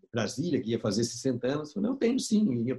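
His pitch makes very wide swings. The man talks at a fairly quick pace. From Brazil, São Paulo. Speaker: documentary filmmaker. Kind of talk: interview storytelling.

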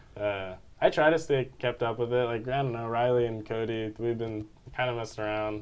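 A man with an American accent speaks at a fairly quick pace and a medium pitch. It is an ordinary speaking voice, with fairly even intonation. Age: 20s. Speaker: college student and musician. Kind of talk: casual chat.

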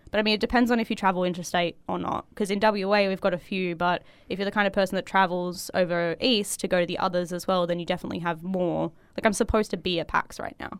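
Talking at a very fast pace with an Australian accent, a woman keeps a medium pitch and fairly even intonation. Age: 20s. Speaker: cosplayer. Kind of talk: casual chat.

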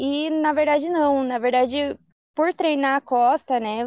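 A woman with a high pitch speaks fairly slowly in a dry, close sound with no echo and a quiet background. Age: 20s. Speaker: CrossFit athlete. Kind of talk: casual interview.

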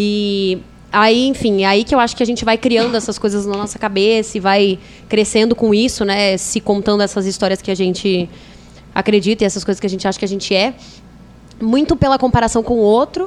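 A woman speaks at a fairly quick pace over noticeable background noise. Her medium pitch moves with fairly even intonation. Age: 20s. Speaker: podcast guest, yoga and spirituality enthusiast. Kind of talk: casual chat.

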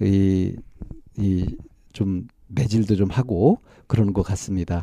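Dry and close with no echo, a man's voice has a dark, mellow tone. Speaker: counselor and co-host. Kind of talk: counseling session.

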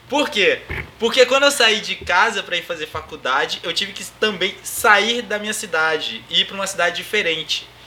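The voice moves at a moderate pace with lively intonation and big swings in loudness over noticeable background noise. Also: man, high pitch for a man. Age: 20s. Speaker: podcast host, DJ and music production student. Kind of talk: casual chat.

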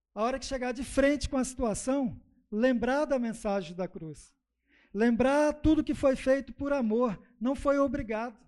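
The man's pitch sits extremely high. His delivery is fairly slow. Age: 50s. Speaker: lay preacher. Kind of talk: sermon. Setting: church.

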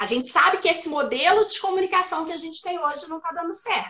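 A woman's extremely high, raised and projected voice at a very fast pace. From Minas Gerais, Brazil. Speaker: speech therapist and educator. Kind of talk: interview. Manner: explanatory, didactic.

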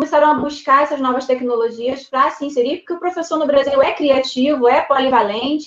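A high-pitched woman's voice at a fairly quick pace. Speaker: geography teacher and educational video creator. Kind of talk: interview.

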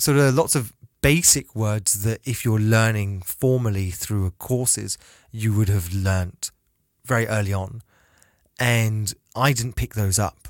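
On a very clean recording with a silent background, a man with a British accent speaks at a fairly slow pace, with ordinary pitch variation and a dry, close sound with no echo. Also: fairly low pitch for a man. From Britain, half Chinese. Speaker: podcast co-host. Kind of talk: casual chat.

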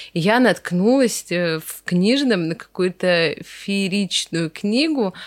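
Speaking very slowly, a woman uses a medium pitch with lively intonation. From Russia, Veliky Novgorod. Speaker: wedding decor studio founder. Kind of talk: casual interview chat.

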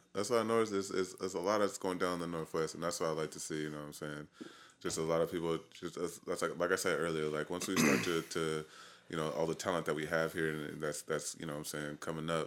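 With an American accent, a man talks at a very fast pace in a very deep, low pitch, with fairly even intonation. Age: 30s. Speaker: hip hop artist. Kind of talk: casual chat. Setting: studio.

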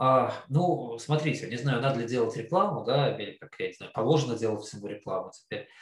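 In an unremarkable speaking voice, a man talks at a fairly quick pace and medium pitch with hardly any pauses, lively intonation and big swings in loudness. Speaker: investment fund founder. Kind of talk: interview.

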